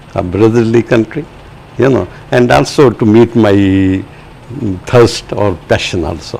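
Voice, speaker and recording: With long, frequent pauses, a man speaks at a fairly low pitch with ordinary pitch variation amid noticeable background noise. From Pakistan. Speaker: translator and writer. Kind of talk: interview. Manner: halting, many fillers.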